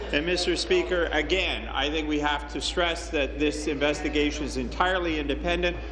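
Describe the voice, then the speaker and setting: There is noticeable background noise as a man speaks at a moderate pace with hardly any pauses. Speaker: government minister. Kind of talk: parliamentary debate. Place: hall. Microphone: podium.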